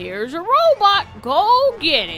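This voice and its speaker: A woman's put-on character voice, extremely high in pitch and fairly slow, with clear background noise. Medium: solo performance.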